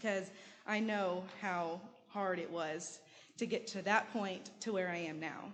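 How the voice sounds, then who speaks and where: In a room with audible echo, a woman with a medium pitch speaks at a fairly slow pace and with fairly even intonation. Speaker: church member giving testimony. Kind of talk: testimony. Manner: halting; partly read from notes.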